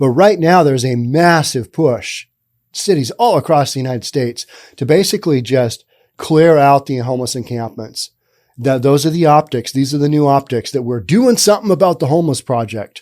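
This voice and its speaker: A man with a normal speaking voice talks at a fairly quick pace, fairly high in pitch with lively intonation, in a very clean recording with a silent background. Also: dry, close sound with no echo. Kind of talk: political news commentary. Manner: casual, conversational.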